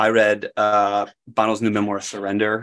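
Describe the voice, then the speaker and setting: In a very clean recording with a silent background, a man with an American accent talks in a fairly low, monotone, flat voice. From Wisconsin, US Midwest. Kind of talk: podcast interview.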